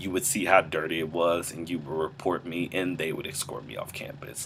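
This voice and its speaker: A man with a very deep, low pitch at a moderate pace, amid noticeable background noise. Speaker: student entertainment writer vlogger. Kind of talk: casual vlog monologue. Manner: hesitant, many fillers.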